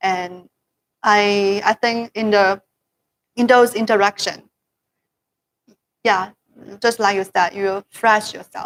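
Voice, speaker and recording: A woman with a Chinese accent talks at a very slow pace with long, frequent pauses. Her medium-pitched delivery is monotone and flat, recorded with a dry, close sound and no echo. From China. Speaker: promoter of products to overseas customers. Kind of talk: casual chat. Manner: halting.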